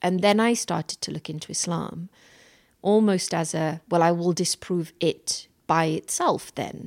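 A woman with a British accent, fairly low in pitch, at a fairly slow pace with fairly even intonation, in a dry, close sound with no echo and a very clean recording with a silent background. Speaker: entrepreneur. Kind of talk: reflective interview.

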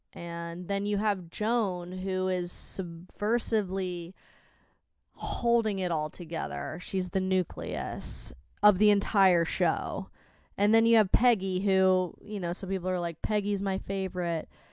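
Against a quiet background, a woman with an unremarkable speaking voice talks at a fairly slow pace, medium pitch and fairly even intonation. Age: 20s. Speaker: podcast co-host, spouse. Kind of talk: casual chat.

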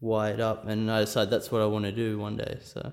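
At a moderate pace, a man with an Australian accent talks at a medium pitch. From rural New South Wales, Australia. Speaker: percussion student. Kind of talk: interview.

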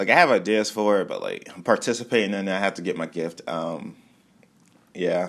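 Ordinary pitch variation marks this fairly quick-paced speech in a very clean recording with a silent background. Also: man, fairly low pitch for a man. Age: 20s. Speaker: podcast host. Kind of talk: casual solo monologue.

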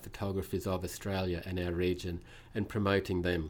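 A moderate pace with a New Zealand accent. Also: man. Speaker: museum director of exhibitions. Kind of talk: casual interview.

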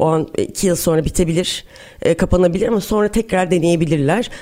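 Speaking at a fairly quick pace, a woman with a normal speaking voice keeps a fairly low pitch and ordinary pitch variation. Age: 40s. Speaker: startup founder. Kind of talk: interview.

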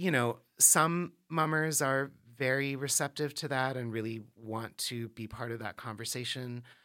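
On a very clean recording with a silent background, a man with an American accent speaks at a fairly slow pace, his medium pitch and bright, sharp tone showing ordinary pitch variation. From Washington, D.C. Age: 40s. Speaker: theater professor. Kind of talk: interview. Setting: studio. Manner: hesitant, many fillers.

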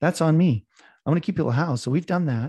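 A man's dark, mellow, somewhat breathy voice with a Canadian accent and lively intonation, dry and close with no echo over a quiet background. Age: 50s. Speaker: real estate investor. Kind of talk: interview. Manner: talkative.

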